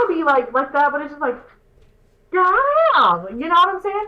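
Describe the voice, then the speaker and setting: The voice is raised and projected, with lively intonation at a fairly quick pace. Noticeable background noise runs behind it. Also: woman. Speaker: podcast host. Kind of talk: casual chat. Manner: loud; animated.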